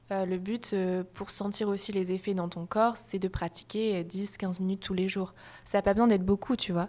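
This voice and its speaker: A woman talks at a medium pitch and a moderate pace with fairly even intonation. It is a plain, everyday voice, heard over a quiet background. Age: 20s. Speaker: yoga teacher. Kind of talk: casual chat.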